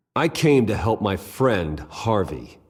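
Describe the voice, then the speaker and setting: A man's growling, put-on character voice, fairly low-pitched with very wide pitch swings, at a fairly slow pace. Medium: video game. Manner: measured, earnest.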